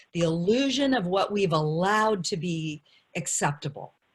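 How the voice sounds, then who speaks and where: A woman with lively intonation and a somewhat breathy voice talks fairly slowly. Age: 60s. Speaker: panelist, community elder. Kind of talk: panel discussion.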